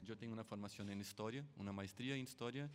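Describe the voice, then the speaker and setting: With a Brazilian accent, a man speaks at a medium pitch with ordinary pitch variation. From Brazil, São Paulo. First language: Portuguese (speaking Spanish). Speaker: sound artist. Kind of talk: artist presentation at forum. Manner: halting, many fillers.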